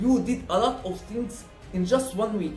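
An extremely high-pitched male voice with ordinary pitch variation, audible room echo and faint music in the background. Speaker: motivational vlogger. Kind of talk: casual vlog chat. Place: home room.

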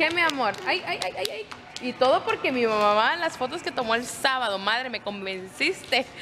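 A woman's high voice at a moderate pace, very wide pitch swings and noticeable background noise. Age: 20s. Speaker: family vlogger. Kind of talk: casual vlog talk to camera. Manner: animated.

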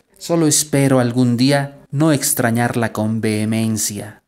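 The voice has a theatrical tone. It moves at a very slow pace. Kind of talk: poem performed, a playful mock-romantic address to personified laziness. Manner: teasing, jocular, theatrical; shifts between mock-scolding and tender, wistful tone.

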